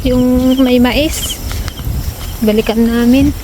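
Audible room echo and noticeable background noise fill the recording. The speech moves at a fairly slow pace. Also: woman. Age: 30s. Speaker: vlogger. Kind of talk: casual vlog chat. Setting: outdoors at a hut.

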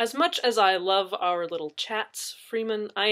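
Plain reading aloud comes through with ordinary pitch variation.

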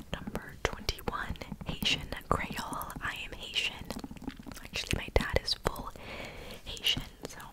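A soft-spoken woman whispers at a fairly slow pace. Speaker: ASMR creator. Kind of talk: soft whispered ASMR talk. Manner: soft conversational ASMR whisper. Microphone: studio mic.

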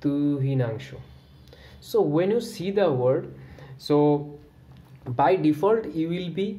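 A man's fairly high-pitched voice with a dark, mellow tone, a very slow pace, long, frequent pauses and audible room echo. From India, Assam. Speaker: YouTuber on stammering. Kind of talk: casual vlog advice talk. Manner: halting, many fillers and repetitions.

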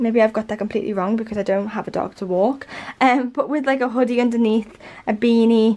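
A woman with a Liverpool accent talks at a very fast pace. Her pitch is fairly high and her intonation fairly even. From Liverpool, England. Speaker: fashion and lifestyle YouTuber. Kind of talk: casual talk to camera. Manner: chatty, relaxed. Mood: relaxed, cheerful. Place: home room. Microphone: camera far.

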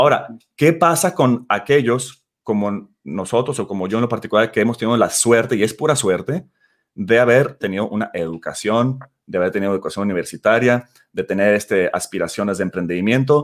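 A man keeps up a fairly quick pace, his intonation lively throughout. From Mexico, Guadalajara; Jalisco, Mexico. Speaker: startup CEO. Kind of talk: interview. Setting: video call.

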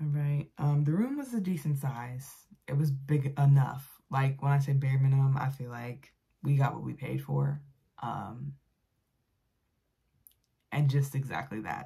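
A woman's very deep, low voice, somewhat breathy and dark and mellow in tone, at a fairly slow pace with long, frequent pauses. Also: fairly even intonation, quiet background. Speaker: vlogger. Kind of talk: casual vlog chat. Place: home room. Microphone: phone near.

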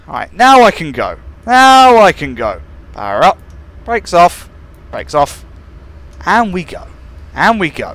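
A man with a British accent talks at a fairly slow pace, leaving long, frequent pauses while his loudness swings widely. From UK. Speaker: gaming YouTuber playing train simulator. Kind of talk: gameplay commentary. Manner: animated.

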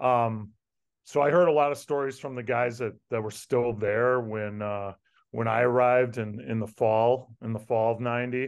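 A man's medium-pitched voice at a moderate pace, with fairly even intonation and a quiet background. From Plymouth, Wisconsin; Wisconsin. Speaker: former college football player; podcast guest. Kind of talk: interview reminiscence. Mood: reflective, nostalgic. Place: home room. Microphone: video call.

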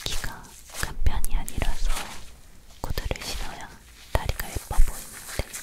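Soft-spoken and whispering, the voice moves at a fairly slow pace. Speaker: relaxation video creator. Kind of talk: soft casual chat to viewers. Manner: soft ASMR whisper.

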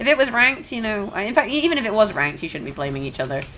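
Over noticeable background noise, a woman with a fairly high pitch makes very wide pitch swings. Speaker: gaming video creator. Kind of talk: gameplay commentary. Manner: casual, chatty, slightly rambling.

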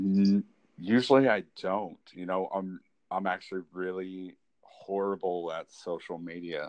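At a fairly slow pace, a man talks in a very deep, low voice with fairly even intonation. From Kansas. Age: 30s. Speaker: artist. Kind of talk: casual chat. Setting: phone call.

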